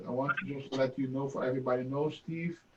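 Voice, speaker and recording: A man speaks with a non-native accent. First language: not English. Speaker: Rotary club member. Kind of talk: thank-you remarks. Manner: halting.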